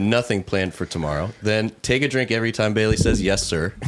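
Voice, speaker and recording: Over noticeable background noise, a man of medium pitch talks at a fairly quick pace with lively intonation. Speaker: podcast co-host, farm owner. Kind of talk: casual podcast chat.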